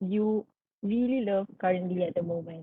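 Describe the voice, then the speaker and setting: A woman speaks with a Malaysian accent and ordinary pitch variation. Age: 20s. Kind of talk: interview questions.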